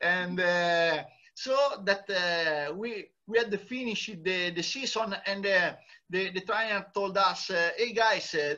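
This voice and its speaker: A man speaks at a very slow pace in a raised, projected voice. His high pitch and bright, sharp tone come with ordinary pitch variation. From Italy. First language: Italian. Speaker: long-distance cyclist. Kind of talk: interview. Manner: halting, many hesitations.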